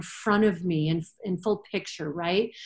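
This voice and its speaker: Somewhat breathy, a woman speaks with an American accent and ordinary pitch variation. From Michigan, US. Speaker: veterinarian. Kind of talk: casual interview.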